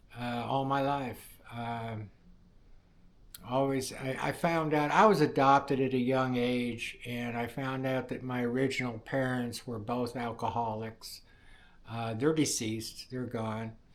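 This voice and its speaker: In a room with audible echo, a man with an American accent speaks at a medium pitch with fairly even intonation. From US Midwest, Indiana. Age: 60s. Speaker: welder sharing personal testimony. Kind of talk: testimony. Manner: halting, many fillers.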